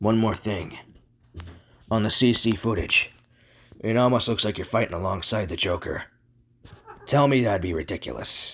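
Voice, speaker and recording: A man puts on a raspy character voice at medium pitch. He keeps a moderate pace, with long, frequent pauses. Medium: voice reel.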